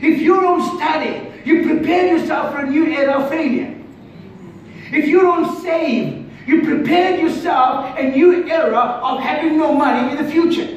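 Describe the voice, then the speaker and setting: The man's pitch is extremely high, and his tone is animated. He talks at a moderate pace with audible room echo. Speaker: preacher. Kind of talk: sermon. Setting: church. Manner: repetitive, call-and-response. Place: church. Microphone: camera far.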